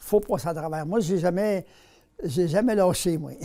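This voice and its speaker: With a Quebec accent, a man speaks at a moderate pace in a high pitch with a dark, mellow tone. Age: 80s+. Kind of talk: interview.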